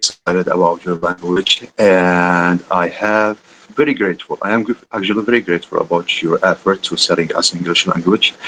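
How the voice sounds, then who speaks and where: With an Arabic accent, a man speaks at a fairly quick pace in a bright, sharp tone with fairly even intonation. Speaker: student asking a question. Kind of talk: audience question in online lecture. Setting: video call. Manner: halting.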